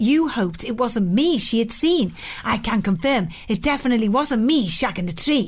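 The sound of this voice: In an unforced reading voice, the speaker delivers the words with lively intonation.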